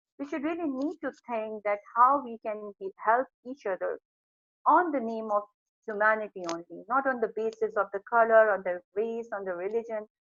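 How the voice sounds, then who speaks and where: Speaking with a non-native accent at a moderate pace, a woman uses a fairly high pitch with ordinary variation, in a dry, close sound with no echo. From Pakistan. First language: not English. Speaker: psychology professor. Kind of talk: video interview. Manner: halting.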